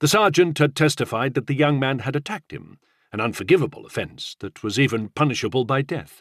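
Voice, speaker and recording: In a dry, close recording with no echo, a man with a fairly high voice talks at a very fast pace with lively intonation. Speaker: audiobook narrator. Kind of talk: audiobook narration of historical fiction.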